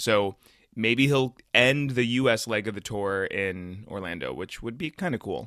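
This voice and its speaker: In a very clean recording with a silent background, a man with an American accent talks at a fairly slow pace, his medium pitch showing ordinary pitch variation, in an ordinary speaking voice. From North Carolina, US South. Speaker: podcaster and blogger. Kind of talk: casual chat.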